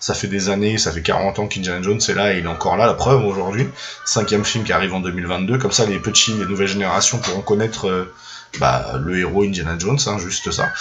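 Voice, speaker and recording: Very fast speech from a man shows ordinary variation in pitch. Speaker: film YouTuber. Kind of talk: casual monologue. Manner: hesitant, many fillers.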